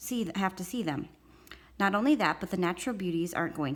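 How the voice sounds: Lively intonation in a natural reading voice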